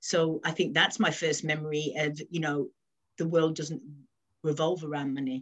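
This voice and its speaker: Her intonation fairly even, a woman with a very deep, low pitch speaks at a moderate pace. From West Midlands, England. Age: 40s. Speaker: office manager. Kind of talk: casual interview. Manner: hesitant, many fillers.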